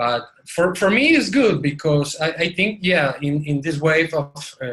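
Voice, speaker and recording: A man with a non-native accent speaks at a fairly slow pace in a fairly high pitch, his tone bright and sharp. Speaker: course student. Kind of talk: group discussion. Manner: halting.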